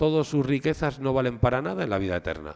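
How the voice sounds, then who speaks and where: The speaker is a man. His pitch is medium. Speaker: art historian lecturer. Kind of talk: lecture.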